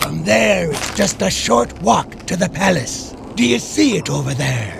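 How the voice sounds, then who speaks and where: A man puts on a cartoonish character voice at medium pitch. He goes at a fairly slow pace over clear background noise. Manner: chatty, folksy.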